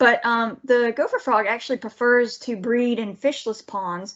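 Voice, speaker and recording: A woman with a fairly high voice speaks in a strong Southern US accent. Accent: thick Southern. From Georgia. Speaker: wildlife biologist. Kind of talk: lecture. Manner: fast; animated.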